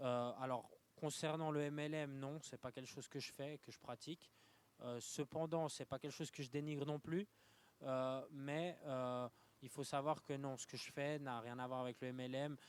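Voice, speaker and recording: The delivery is monotone and flat at a moderate pace. The sound is dry and close, with no echo. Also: man, fairly high pitch for a man. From Switzerland, Lausanne. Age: 20s. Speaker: young entrepreneur. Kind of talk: interview. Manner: halting, many fillers.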